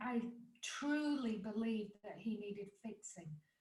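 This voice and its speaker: With audible room echo, a woman in an English accent speaks somewhat breathily at a fairly slow pace and with fairly even intonation. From England. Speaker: life coach and author. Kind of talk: podcast interview.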